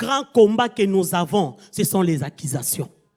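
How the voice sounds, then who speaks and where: Very slowly and with vocal fry, a woman speaks in very wide pitch swings on a very clean recording with a silent background. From Angola. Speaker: guest preacher. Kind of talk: sermon. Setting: church convention.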